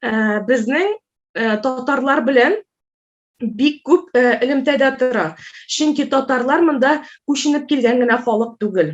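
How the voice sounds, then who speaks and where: Pausing long and often, a woman speaks very slowly in a high pitch. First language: Tatar (speaking Russian). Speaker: Russian language teacher. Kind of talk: conference talk. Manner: hesitant, many filler sounds.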